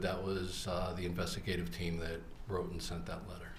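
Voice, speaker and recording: Noticeable background noise and audible room echo fill the recording. A man goes at a fairly quick pace through it. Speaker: former undercover law enforcement officer, trial witness. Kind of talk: courtroom testimony under cross-examination. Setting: courtroom.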